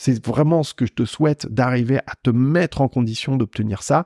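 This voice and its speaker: A man with a plain, everyday voice and a medium pitch speaks at a moderate pace with ordinary pitch variation, in a dry, close sound with no echo on a very clean recording with a silent background. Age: 40s. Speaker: personal finance and investing podcaster. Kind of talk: casual solo monologue.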